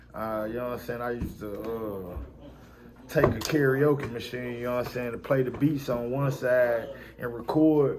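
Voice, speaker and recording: In a room with audible echo, a man talks at a medium pitch and a moderate pace with fairly even intonation. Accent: American. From West Tennessee (Jackson). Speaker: rapper. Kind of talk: interview. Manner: casual, filler-heavy.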